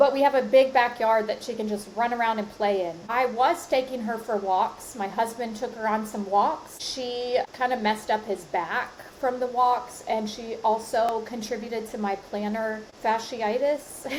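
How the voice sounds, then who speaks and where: Over noticeable background noise, a woman with a fairly high pitch speaks at a moderate pace, with fairly even intonation and hardly any pauses. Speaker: podcast host. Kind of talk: solo podcast monologue. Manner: casual, conversational.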